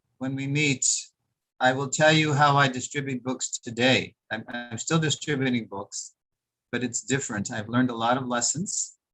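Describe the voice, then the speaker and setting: With music in the background, a man of fairly high pitch talks at a moderate pace with fairly even intonation. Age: 70s. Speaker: Hare Krishna monk and book distributor. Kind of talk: talk to an online audience. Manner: pausing for interpretation.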